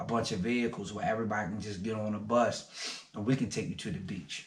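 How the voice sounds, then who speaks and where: Audible room echo surrounds this man's voice. He speaks at a fairly quick pace. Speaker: small business owner, vlogger. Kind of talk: casual vlog talk to camera. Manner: fast.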